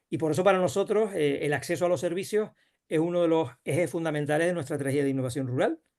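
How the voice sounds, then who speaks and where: Very fast speech comes from a man with a fairly high pitch. His pitch variation is ordinary. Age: 60s. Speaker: rural development official. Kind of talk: panel discussion. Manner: halting.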